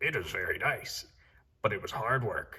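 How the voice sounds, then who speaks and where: At a moderate pace, a man speaks. He uses a put-on character voice. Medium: read story. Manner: calm, reassuring.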